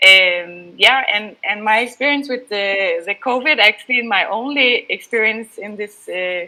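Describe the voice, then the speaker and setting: Fairly slow speech in a Danish accent with hardly any pauses, a bright, sharp tone and ordinary pitch variation. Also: woman, fairly high pitch for a woman, big swings in loudness. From Denmark. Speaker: freelance journalist. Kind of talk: panel discussion. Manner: halting, many fillers.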